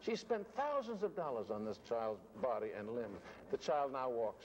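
A man talks at a moderate pace with very wide pitch swings. Light background noise is present. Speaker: actor interviewee. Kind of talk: interview answer. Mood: fond, wistful.

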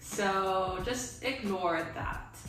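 A woman speaks with audible room echo and clear music in the background. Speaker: video creator. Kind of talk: casual vlog chat. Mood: relaxed, chatty. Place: home room. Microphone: camera far.

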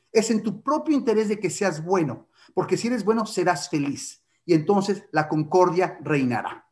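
A man's high pitch with lively intonation, at a moderate pace against a quiet background. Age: 50s. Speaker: writer and literature lecturer; literature lecturer. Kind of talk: lecture. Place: home room. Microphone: webcam.

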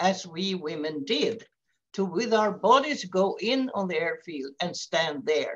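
A woman with a Swedish accent, medium-pitched with vocal fry, very slow and with very wide pitch swings. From Sweden. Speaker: peace activist; webinar speaker. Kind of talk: presentation; webinar talk. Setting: video call. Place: home room. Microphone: headset.

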